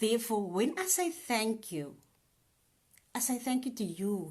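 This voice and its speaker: Pitch leaps across a very wide range. There is a somewhat breathy quality throughout. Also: woman, fairly high pitch for a woman. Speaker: spoken word artist and nurse. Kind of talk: casual talk to camera, live stream. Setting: live video on social media. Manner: upbeat, chatty.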